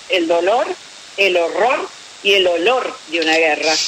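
A woman talks at a fairly slow pace with lively intonation over noticeable background noise. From Argentina, Paraná. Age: 60s. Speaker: retired military nurse and war veteran. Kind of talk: interview on radio.

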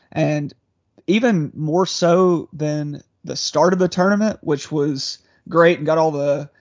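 With a normal speaking voice, a man talks at a fairly high pitch and a fairly slow pace, with ordinary pitch variation. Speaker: sports podcast co-host. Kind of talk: casual sports chat. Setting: video call.

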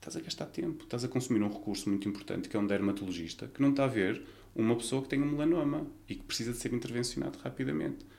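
A man's medium-pitched voice with vocal fry, lively intonation and a very fast pace, plus audible room echo. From Portugal, Vila Nova de Gaia (Porto area). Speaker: nurse. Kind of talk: interview.

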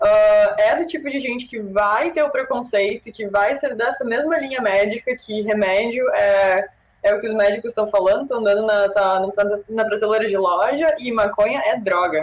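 Speaking in an ordinary speaking voice, a woman with a fairly high pitch talks with hardly any pauses and ordinary pitch variation. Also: moderate pace. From Brazil. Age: 20s. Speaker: cannabis content creator. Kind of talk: casual chat.

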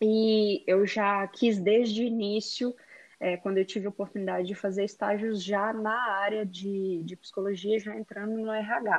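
Speaking at a fairly slow pace, a woman uses a plain, everyday voice at a medium pitch. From Brazil, Belo Horizonte, Minas Gerais. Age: 30s. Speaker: digital influencer, former HR psychologist. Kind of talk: podcast interview.

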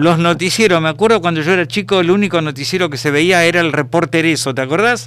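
Talking in a Rioplatense accent, the speaker goes at a very fast pace with hardly any pauses. The pitch shows ordinary variation. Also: man, high pitch for a man. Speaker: radio host. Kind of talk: interview.

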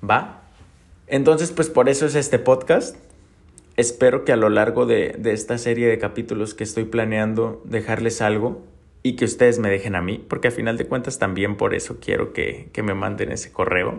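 This man speaks with vocal fry and ordinary pitch variation. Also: medium pitch for a man, moderate pace. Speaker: podcast host, entrepreneur. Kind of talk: personal monologue. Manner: halting, repeats words.

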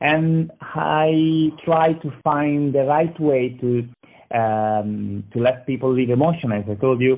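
Very slowly, a man with an Italian accent speaks at a medium pitch with ordinary pitch variation. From Italy, Lucca, Tuscany. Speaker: marketing agency founder. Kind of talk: interview. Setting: phone call. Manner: halting.

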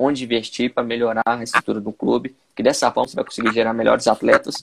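A man speaks fairly quickly at a medium pitch. The sound is dry and close, with no echo. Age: 20s. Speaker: sports physiologist. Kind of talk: casual interview.

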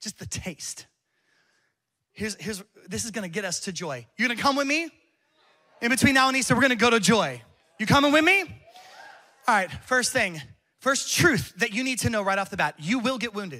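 With a raised, projected voice at a high pitch, a man talks at a fairly quick pace in an animated, passionate tone with lively intonation, broken by long, frequent pauses. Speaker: pastor. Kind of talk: sermon. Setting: church with live congregation. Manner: passionate, building to a fiery, exhorting call to worship.

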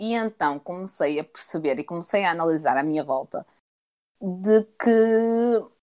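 Speaking at a fairly slow pace in a European Portuguese accent, a woman has a medium pitch and ordinary pitch variation. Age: 20s. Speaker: podcast co-host. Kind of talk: casual chat.

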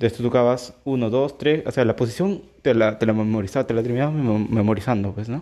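Speaking at a very fast pace with hardly any pauses, a man has a medium pitch and a dark, mellow tone. His pitch varies in an ordinary way. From Peru. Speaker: tech podcaster. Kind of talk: casual monologue.

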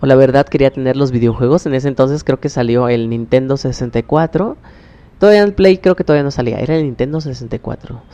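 A man with a Mexican accent speaks at a moderate pace and medium pitch, with ordinary pitch variation. His tone is dark and mellow, and the sound is dry and close with no echo. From Mexico, Oaxaca. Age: 20s. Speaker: podcaster. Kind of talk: personal storytelling. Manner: halting.

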